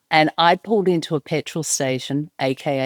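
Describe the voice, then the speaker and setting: A woman with an Australian accent talks at a moderate pace with lively intonation and a very deep, low pitch, on a very clean recording with a silent background and a dry, close sound with no echo. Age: 30s. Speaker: podcast host. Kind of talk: personal storytelling.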